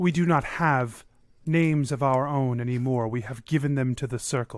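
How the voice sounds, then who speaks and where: Using a put-on character voice, a man speaks at a medium pitch with ordinary pitch variation. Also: moderate pace. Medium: actual play. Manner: formal, solemn.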